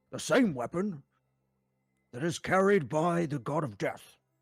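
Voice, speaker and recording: Someone does a put-on character voice in a pompous tone at a moderate pace. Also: man. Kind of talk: comic overacting. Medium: actual play. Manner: pompous, lecturing.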